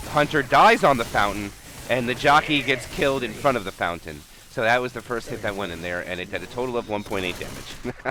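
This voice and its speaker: Lively intonation from a man at a medium pitch, rushing at a very fast pace through noticeable background noise. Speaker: esports caster. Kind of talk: live commentary. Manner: animated.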